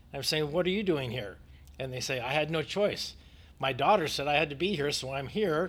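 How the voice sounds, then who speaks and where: A man with an American accent and a plain, everyday voice speaks at a fairly quick pace. His pitch is fairly high, with ordinary variation. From United States. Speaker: youth ministry leader and adjunct professor. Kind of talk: interview.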